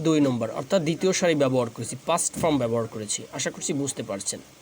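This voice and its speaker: A man's pitch swings very widely, with noticeable background noise behind him. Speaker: English teacher. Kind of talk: tutorial.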